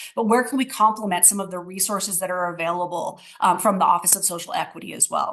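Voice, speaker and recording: A woman speaks at a very fast pace with hardly any pauses. Her pitch sits in the medium range, with ordinary variation. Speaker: city equity office official. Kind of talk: presentation.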